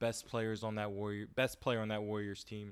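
A man speaks at a medium pitch in an unremarkable speaking voice. The recording is very clean, with a silent background. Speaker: sports podcast co-host. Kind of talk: casual sports talk. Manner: playful, boastful.

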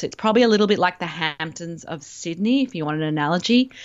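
A woman with an Australian accent, fairly low in pitch and fairly quick in pace. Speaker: travel guest. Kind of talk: casual interview.

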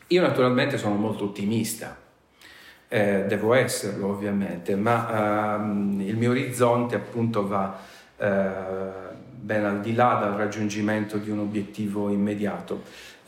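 Audible room echo surrounds a man with a fairly low voice. He speaks at a fairly slow pace with fairly even intonation. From Sardinia, near Sassari. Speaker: university professor. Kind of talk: interview. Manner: formal.

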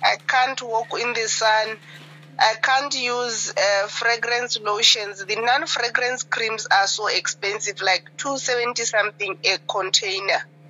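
Noticeable background noise fills the clip. A woman speaks at a fairly high pitch. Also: ordinary pitch variation, fairly slow pace. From Botswana. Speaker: caller. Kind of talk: phone-in testimony. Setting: phone call. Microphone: breaking up phone line.

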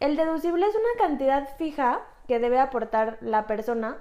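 A woman with a Mexican accent, moderate pace and ordinary pitch variation. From Mexico. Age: 30s. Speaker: insurance agent and podcast host. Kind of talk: casual explanatory chat.

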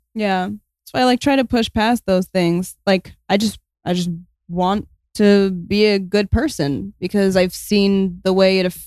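An ordinary speaking voice with an American accent moves at a fairly slow pace, the sound dry and close with no echo. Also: woman, medium pitch for a woman, fairly even intonation. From US Midwest. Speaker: guest. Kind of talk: casual chat.

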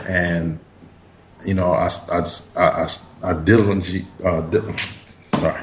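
With an American accent and a very deep, low pitch, a man speaks flatly in a monotone at a fairly slow pace with long, frequent pauses, over noticeable background noise. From US East Coast. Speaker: actor and comic book creator. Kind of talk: casual interview. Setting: Skype call.

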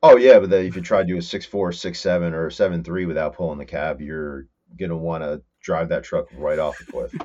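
This voice, in a New Jersey accent, moves at a fairly quick pace with big swings in loudness. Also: man. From northern New Jersey, Morris County. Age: 30s. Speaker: fabricator and mechanic. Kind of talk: casual chat.

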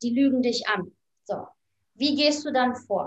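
Her pitch high, a woman talks at a fairly unhurried pace. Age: 30s. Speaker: life coach and author. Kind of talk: interview.

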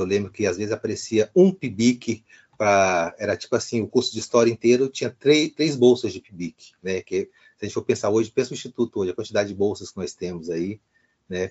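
A man speaks in a normal speaking voice at a medium pitch with ordinary pitch variation. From Brasília, Brazil. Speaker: historian and professor. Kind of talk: interview.

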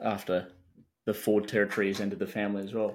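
A man with an Australian accent talks at a very fast pace in a fairly low, monotone, flat voice on a very clean recording with a silent background. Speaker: sports podcast co-host. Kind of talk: casual chat.

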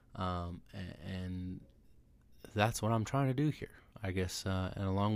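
A man with a Californian accent at a moderate pace, on a very clean recording with a silent background. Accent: Californian American English. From Southern California. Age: 20s. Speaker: podcast host. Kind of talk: solo podcast monologue. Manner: casual. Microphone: new microphone.

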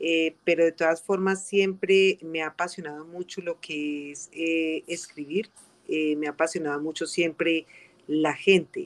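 A woman talks at a fairly slow pace in a fairly low pitch, with monotone, flat intonation. Her loudness swings widely, and the sound is dry and close with no echo. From Colombia, coffee region (Armenia, Quindío). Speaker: community legal and social services advisor. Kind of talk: interview. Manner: halting, many fillers.

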